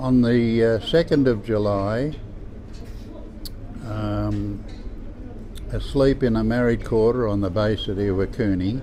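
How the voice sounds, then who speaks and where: With audible room echo, a man with an Australian accent speaks at a fairly slow pace, leaving long, frequent pauses. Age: 80s+. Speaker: war veteran. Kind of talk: testimony. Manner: halting.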